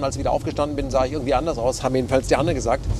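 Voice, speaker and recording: Very fast and monotone, a man delivers flat intonation. The sound is dry with no echo, and noticeable background noise is present. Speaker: political journalist. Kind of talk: interview answer. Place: car. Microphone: lapel.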